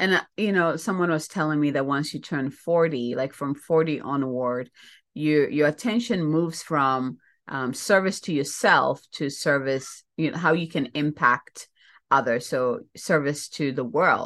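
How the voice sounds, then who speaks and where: Over a quiet background, a woman with a Ghanaian accent speaks fairly slowly at a very deep, low pitch with ordinary pitch variation. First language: Ghanaian language. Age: 40s. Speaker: spiritual mentor and podcast host. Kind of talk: casual solo monologue.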